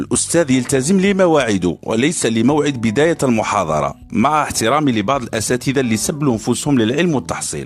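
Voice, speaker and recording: Medium-pitched male speech with very wide pitch swings, very even loudness, hardly any pauses, and music in the background. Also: moderate pace. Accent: Algerian. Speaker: university student podcaster. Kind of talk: satirical podcast monologue. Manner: casual, humorous.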